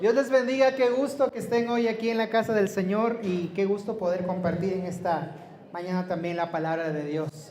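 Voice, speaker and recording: Audible room echo and noticeable background noise surround speech that moves at a moderate pace, its pitch varying in an ordinary way. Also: man, high pitch for a man. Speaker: preacher. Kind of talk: sermon. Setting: church. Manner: soft-spoken.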